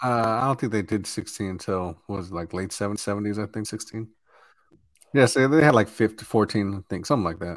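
A man with an unremarkable speaking voice talks at a fairly quick pace and a fairly low pitch, with ordinary pitch variation, in a very clean recording with a silent background. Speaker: sports podcast co-host. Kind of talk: casual profanity-heavy sports banter. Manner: casual, profane, laughing often.

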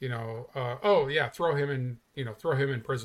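A man's somewhat breathy voice at medium pitch, with ordinary pitch variation and a moderate pace, on a very clean recording with a silent background. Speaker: guest. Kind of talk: casual chat.

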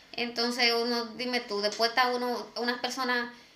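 At a fairly slow pace, a woman speaks high in pitch amid noticeable background noise and audible room echo. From Dominican Republic. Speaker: podcast co-host. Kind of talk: casual chat.

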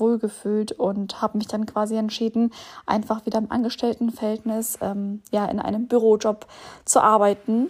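At a moderate pace, a woman with a fairly high pitch speaks in a somewhat breathy, flat monotone. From Bielefeld, Germany. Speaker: podcaster, single mother. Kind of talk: personal monologue.

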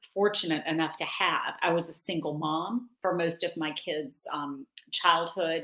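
An ordinary speaking voice with an American accent. It moves at a moderate pace with ordinary pitch variation. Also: woman. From North Carolina, US South. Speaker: yoga instructor and author. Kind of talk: casual chat. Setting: interview.

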